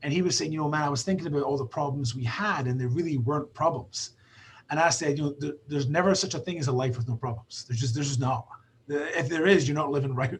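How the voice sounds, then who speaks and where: A man with a Scottish accent, fairly high-pitched, at a very fast pace with ordinary pitch variation. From Scotland. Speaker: basketball trainer. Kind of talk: casual chat.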